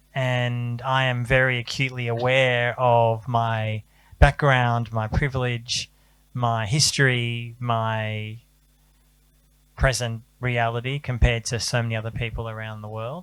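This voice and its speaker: A man speaks at a fairly slow pace in a monotone, flat intonation. The recording is very clean, with a silent background. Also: medium pitch for a man. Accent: Australian. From Australia. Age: 40s. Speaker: journalist. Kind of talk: panel talk.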